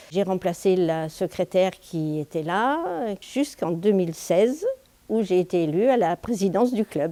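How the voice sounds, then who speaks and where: Her voice is a woman's medium pitch with a dark, mellow tone. She goes at a fairly slow pace with lively intonation. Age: 70s. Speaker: boxing club president. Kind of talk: interview testimony. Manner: hesitant, with fillers.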